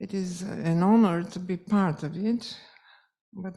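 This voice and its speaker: Somewhat breathy and dark, mellow in tone, a woman with a Polish accent speaks at a medium pitch in a monotone, flat intonation. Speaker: music teacher and event organizer. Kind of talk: closing speech. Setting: conference hall with audience. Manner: halting, with fillers.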